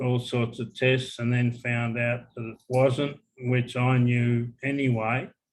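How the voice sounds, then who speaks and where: Medium pitch from a man with an Australian accent. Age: 60s. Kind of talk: casual interview. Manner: halting, with fillers.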